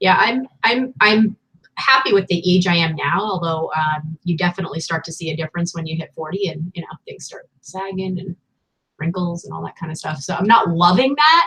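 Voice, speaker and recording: A woman talks at a fairly quick pace with a fairly low pitch and ordinary pitch variation, in an unremarkable speaking voice. Her loudness swings widely. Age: 40s. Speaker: online reseller and video host. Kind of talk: casual chat.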